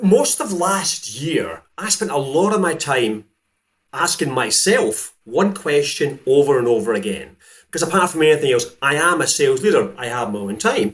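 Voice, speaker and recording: With a Scottish accent, a man speaks in a fairly high voice marked by vocal fry. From Scotland. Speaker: sales coach. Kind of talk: interview.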